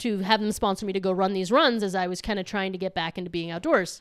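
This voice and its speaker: A woman talks very fast in an animated tone at medium pitch. The recording is very clean, with a silent background. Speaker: podcast guest, traveler. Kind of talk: casual chat. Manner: loud.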